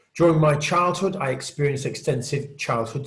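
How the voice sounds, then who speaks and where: A man talks in a British accent, his voice somewhat breathy. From Britain. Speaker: conference speaker, peer support group leader. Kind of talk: conference talk. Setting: virtual conference, recorded video.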